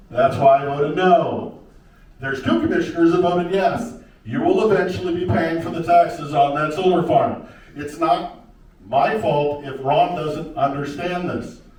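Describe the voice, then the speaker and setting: With noticeable background noise and audible room echo, a man with an American accent speaks in a high pitch. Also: ordinary pitch variation, moderate pace. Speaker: county commissioner candidate. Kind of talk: candidate debate.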